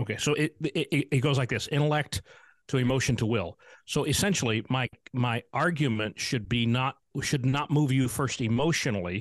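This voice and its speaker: A man with an unremarkable speaking voice talks at a moderate pace, with medium pitch, ordinary pitch variation and very even loudness. The sound is dry and close with no echo, over a quiet background. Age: 50s. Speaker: pastor. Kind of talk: casual chat.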